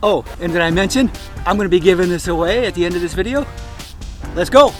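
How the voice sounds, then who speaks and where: The speech runs at a very fast pace with ordinary pitch variation. Music sits in the background. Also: man, high pitch for a man. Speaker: drone reviewer. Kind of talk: casual talk to camera.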